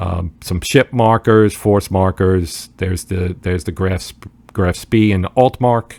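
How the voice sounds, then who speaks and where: Very deep and low in pitch, a man with a New Jersey accent speaks at a fairly slow pace with ordinary pitch variation and big swings in loudness, in a dry, close sound with no echo. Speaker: board game youtuber. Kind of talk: casual video commentary. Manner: halting, many fillers.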